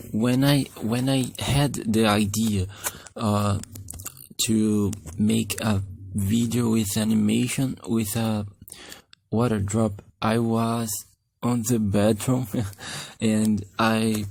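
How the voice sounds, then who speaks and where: The speech comes with a non-native accent at a very slow pace. The intonation is monotone and flat, broken by long, frequent pauses. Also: man, fairly low pitch for a man, very even loudness. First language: Portuguese. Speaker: animation youtuber. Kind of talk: tutorial. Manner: halting.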